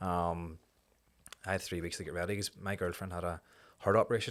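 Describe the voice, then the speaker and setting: This man speaks with a Belfast accent. His intonation is flat and monotone. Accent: Belfast Northern Irish. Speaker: amateur fighter and charity worker. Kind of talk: casual chat.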